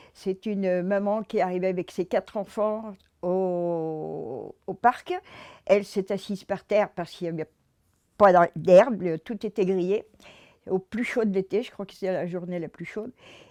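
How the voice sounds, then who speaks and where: A woman's dark, mellow voice moves at a fairly slow pace with fairly even intonation and big swings in loudness. The sound is dry and close with no echo, over a quiet background. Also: medium pitch for a woman. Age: 80s+. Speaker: resident presenting a civic project. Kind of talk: public project pitch. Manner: halting, many hesitations.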